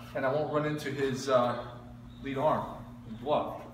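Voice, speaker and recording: Noticeable background noise and audible room echo fill the recording. Through them, a man speaks fairly quickly. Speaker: boxing instructor. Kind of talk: tutorial. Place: gym. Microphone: camera far.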